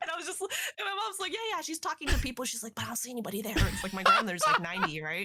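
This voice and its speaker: Over noticeable background noise, a woman speaks at a very fast pace in a high pitch with an animated tone and very wide pitch swings. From Canada, Toronto. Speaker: streamer and actor, podcast guest. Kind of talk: casual chat. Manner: animated, high energy.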